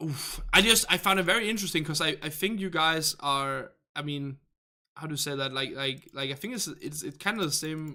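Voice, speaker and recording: With a Danish accent, a man speaks at a moderate pace in a fairly high voice. His tone is bright and sharp, with ordinary pitch variation. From Denmark. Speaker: gaming livestream host. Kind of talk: casual livestream chat reading viewer comments. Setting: live stream. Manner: halting with frequent fillers.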